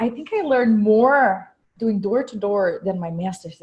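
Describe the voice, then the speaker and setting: A woman with a Brazilian Portuguese accent speaks in a somewhat breathy voice at a fairly high pitch, with ordinary pitch variation. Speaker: real estate investor and podcast host. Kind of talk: conference talk.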